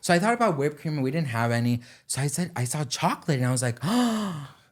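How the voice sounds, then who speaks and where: Speaking at a fairly quick pace, a man with a fairly high, somewhat breathy voice and an animated tone is heard in a very clean recording with a silent background. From Denmark. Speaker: social media commentator. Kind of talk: casual chat.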